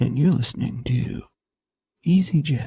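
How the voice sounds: In a put-on character voice, the speaker uses a low-to-middle pitch and a moderate pace.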